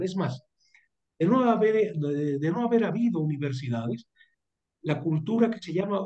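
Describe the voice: Lively intonation marks this man's high-pitched voice, which has a dark, mellow tone.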